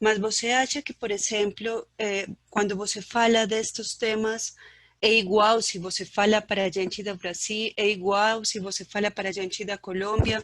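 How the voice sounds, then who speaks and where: With a non-native accent, the speaker uses a monotone, flat intonation. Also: woman, fairly high pitch for a woman, moderate pace. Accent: foreign accent in Portuguese. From Colombia. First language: Spanish (speaking Portuguese). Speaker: audience member asking a question. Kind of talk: question in online Q&A.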